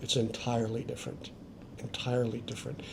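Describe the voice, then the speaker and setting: A somewhat breathy man with an American accent. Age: 60s. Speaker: expat. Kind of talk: interview.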